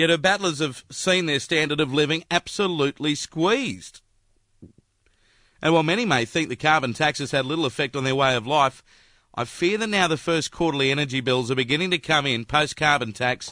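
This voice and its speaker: A man with an Australian accent speaks at a fairly quick pace, his fairly high voice bright and sharp with ordinary pitch variation. The sound is dry and close with no echo, on a very clean recording with a silent background. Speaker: radio broadcaster. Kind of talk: radio opinion commentary.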